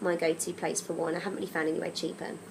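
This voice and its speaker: A woman speaks with an English accent. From England. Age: 30s. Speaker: travel vlogger. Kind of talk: casual vlog advice. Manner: casual, chatty with frequent ums.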